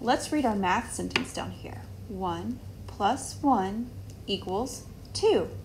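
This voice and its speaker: A woman talks against noticeable background noise. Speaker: teacher. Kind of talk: tutorial for young children.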